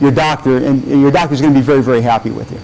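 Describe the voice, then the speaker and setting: A man speaks over noticeable background noise. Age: 60s. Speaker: weight loss business owner. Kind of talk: TV interview. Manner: halting, many repeated words.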